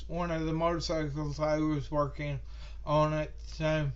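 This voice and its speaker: A man speaks at a very slow pace amid noticeable background noise and audible room echo. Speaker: student, retired military. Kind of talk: class introduction speech. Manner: slow, halting.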